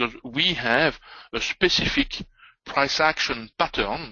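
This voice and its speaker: This man speaks with a strong French accent and lively intonation. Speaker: trading educator. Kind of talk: live trading webinar. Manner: hesitant, many fillers.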